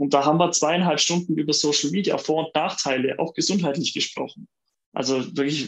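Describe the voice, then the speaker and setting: A man speaks in a normal speaking voice. His pitch is fairly high and his intonation fairly even. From Allgäu, southern Germany. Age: 40s. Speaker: workplace health manager and lecturer. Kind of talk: interview. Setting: video call.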